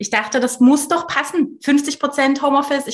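A high-pitched woman's voice, fairly quick, with ordinary pitch variation. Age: 30s. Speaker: founder of a working-mothers initiative. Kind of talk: casual interview.

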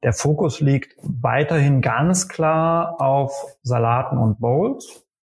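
Somewhat breathy sound to this voice. The pitch rises and falls in an ordinary way. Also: man. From western Germany, Aachen. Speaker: startup founder and CEO. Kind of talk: podcast interview. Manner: hesitant, many fillers.

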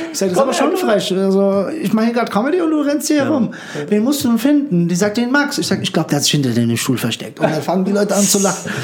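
A man speaks very fast at a high pitch, his voice swinging very widely while his loudness stays very even. Noticeable background noise and audible room echo fill the recording. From former Yugoslavia, raised in Frankfurt-Höchst. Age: 30s. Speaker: stand-up comedian. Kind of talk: casual interview chat. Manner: talkative.

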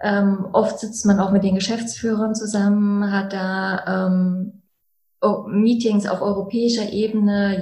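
A woman's somewhat breathy, dark and mellow voice at medium pitch, monotone and flat, at a fairly slow pace. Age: 30s. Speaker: chemical engineer and plant manager. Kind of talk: interview conversation. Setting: in-person in coaching rooms.

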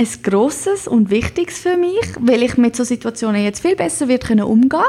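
This is a woman speaking. Her pitch is high. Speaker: podcast host. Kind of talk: pep talk, motivational monologue. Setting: home. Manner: warm, encouraging, direct address.

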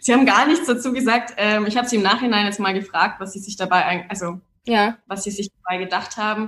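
A woman speaks at a fairly high pitch with a bright, sharp tone. Her pitch varies in an ordinary way. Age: 20s. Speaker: startup founder. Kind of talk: interview.

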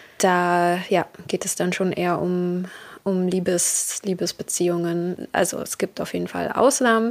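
A woman's ordinary speaking voice, fairly low in pitch, with fairly even intonation at a fairly slow pace, on a very clean recording with a silent background. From Berlin, Germany. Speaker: podcast host. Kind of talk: casual monologue.

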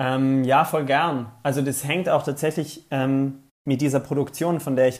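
A man with an unremarkable speaking voice, medium pitch, moderate pace and fairly even intonation. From South Tyrol, Italy. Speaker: TV presenter. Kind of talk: interview. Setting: video call.

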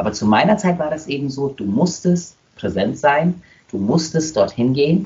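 Lively intonation marks this man's fairly high, somewhat breathy voice. He speaks at a moderate pace. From Germany, Nuremberg. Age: 20s. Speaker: dancer and dance school owner. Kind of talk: casual interview.

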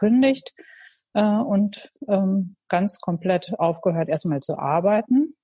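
Her tone is dark and mellow, somewhat breathy, with ordinary pitch variation. The woman speaks at a very slow pace. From Münsterland, Germany. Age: 40s. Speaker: pottery studio owner. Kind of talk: casual interview. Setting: online call. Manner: hesitant, many fillers.

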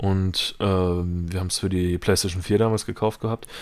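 In a very clean recording with a silent background, a man talks at a moderate pace in a very deep, low pitch with monotone, flat intonation. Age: 20s. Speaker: gamer, host's brother. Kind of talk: casual chat.

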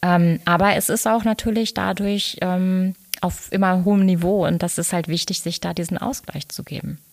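At a moderate pace, a woman speaks in an unremarkable speaking voice with a fairly low pitch. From Ruhr area, Germany (Dortmund, Lünen). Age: 40s. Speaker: business coach and designer. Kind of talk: interview.

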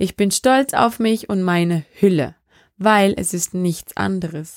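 At a very slow pace, a woman speaks in a medium pitch with ordinary pitch variation, in a very clean recording with a silent background and a dry, close sound with no echo. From Austria, Vorarlberg. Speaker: podcast host. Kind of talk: solo podcast monologue.

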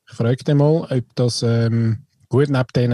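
His tone is dark and mellow, and he sounds somewhat breathy. The man's intonation stays fairly even. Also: dry, close sound with no echo. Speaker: podcast co-host. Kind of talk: casual chat.

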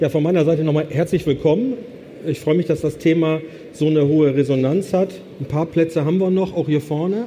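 Over noticeable background noise, a man speaks at a fairly quick pace with a fairly high pitch, ordinary pitch variation and very even loudness. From northern Germany, Bremen. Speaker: business consultant. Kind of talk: conference talk. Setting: stage with audience.

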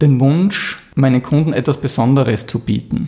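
This voice carries a dark, mellow tone. There is a somewhat breathy quality to it. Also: man. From Austria, Styria (Mürztal). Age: 40s. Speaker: graphic designer, business owner. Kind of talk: interview.

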